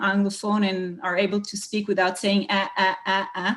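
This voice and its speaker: A woman's somewhat breathy, medium-pitched voice at a moderate pace. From Israel. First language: not English (English is her third language). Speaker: tech conference panelist. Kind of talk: panel discussion. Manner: halting, many fillers.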